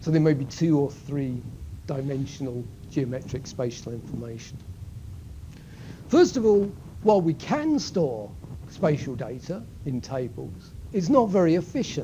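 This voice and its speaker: A somewhat breathy, dark, mellow tone with lively intonation at a moderate pace, plus audible room echo. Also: man, fairly high pitch for a man. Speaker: university lecturer. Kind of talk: lecture. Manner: halting.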